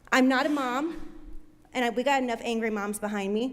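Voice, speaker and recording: Loud and lively in intonation, a woman with an American accent speaks at a high pitch and a moderate pace. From Nebraska, Omaha. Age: 20s. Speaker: public commenter. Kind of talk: public comment speech. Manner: animated.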